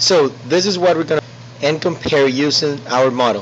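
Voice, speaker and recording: A man talks at a fairly slow pace and a fairly high pitch. His pitch variation is ordinary, with noticeable background noise. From South America. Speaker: student. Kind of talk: tutorial. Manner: halting.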